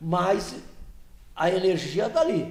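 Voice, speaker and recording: This man's voice has a dark, mellow tone, with audible room echo around it. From Santos, São Paulo coast, Brazil. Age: 70s. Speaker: regional political association executive. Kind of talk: podcast interview, casual chat.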